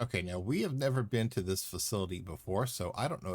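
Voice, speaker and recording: A somewhat breathy man with an American accent, fairly low pitch and ordinary pitch variation, in a very clean recording with a silent background. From US South, Louisiana. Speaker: gaming streamer. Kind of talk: live gameplay stream chat. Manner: speech impediment, words get twisted; casual, chatty.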